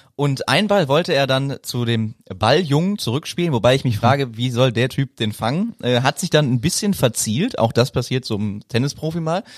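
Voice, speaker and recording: A man with an unremarkable speaking voice and medium pitch talks at a moderate pace with hardly any pauses, in a very clean recording with a silent background. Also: lively intonation, dry, close sound with no echo. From Germany, Bonn. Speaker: sports podcast host. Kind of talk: casual chat.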